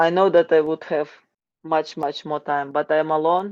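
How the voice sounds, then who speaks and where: Speaking with a Ukrainian accent, a woman has a very deep, low pitch and fairly even intonation. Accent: non-native English, Ukrainian. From Ukraine. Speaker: wrestling coach. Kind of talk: interview. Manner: halting, repetitive.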